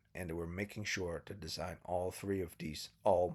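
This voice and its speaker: At a moderate pace, a man speaks with a very deep, low, somewhat breathy voice and ordinary pitch variation. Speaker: anime reviewer. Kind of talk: casual talk to camera.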